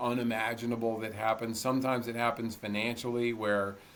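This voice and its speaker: Noticeable background noise accompanies a man talking at a fairly quick pace and medium pitch in monotone, flat intonation. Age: 60s. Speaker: ultramarathon runner and motivational speaker. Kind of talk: interview conversation.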